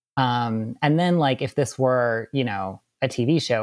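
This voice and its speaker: A man with an American accent has a normal speaking voice at a medium pitch with ordinary pitch variation. The sound is dry and close, with no echo. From US Midwest, suburban Wisconsin. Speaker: composer and novelist. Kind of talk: casual interview.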